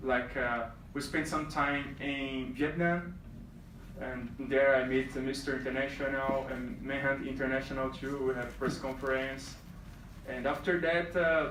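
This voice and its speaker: With a Brazilian accent, a fairly high-pitched man speaks at a fairly slow pace in monotone, flat intonation, amid noticeable background noise and audible room echo. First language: Portuguese. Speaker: reigning male pageant titleholder. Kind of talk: speech to pageant contestants. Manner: halting, many fillers.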